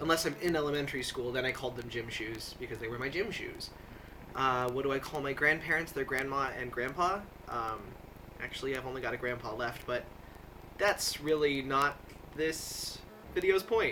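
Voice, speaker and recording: Against noticeable background noise, a man with an American accent speaks at a moderate pace, with long, frequent pauses. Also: medium pitch for a man, ordinary pitch variation. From US Midwest (Nebraska, Iowa). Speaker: video blogger. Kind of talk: casual monologue answering a word-list questionnaire. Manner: many fillers (uh, um), casual.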